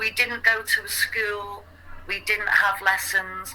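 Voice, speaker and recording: Against noticeable background noise, a woman with an English accent speaks at a very slow pace. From England. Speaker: English conversation partner. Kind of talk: casual chat.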